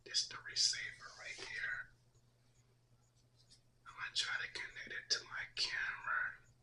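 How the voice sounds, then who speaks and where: A man whispers in a soft-spoken way at a fairly slow pace. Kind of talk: ASMR unboxing talk. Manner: whispered, soft-spoken.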